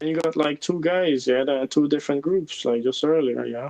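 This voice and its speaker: At a fairly quick pace, a man speaks with a fairly high pitch and a dark, mellow tone. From Germany. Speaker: online gamer. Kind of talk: casual chat. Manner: halting.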